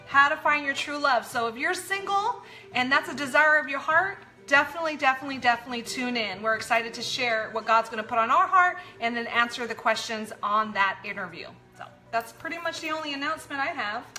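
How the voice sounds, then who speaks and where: A woman talks in a raised, projected voice at a very fast pace, her high pitch rising and falling with lively intonation. Noticeable background noise runs behind her. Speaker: pastor and show co-host. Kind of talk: live-streamed talk show announcements. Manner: loud; loud by habit.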